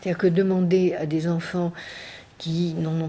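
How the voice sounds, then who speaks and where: At a moderate pace, a woman speaks in a fairly low, dark, mellow voice that is somewhat breathy. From southwestern France. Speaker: education researcher and professor. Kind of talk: research interview. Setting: interview recorded in Paris. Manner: hesitant, many fillers.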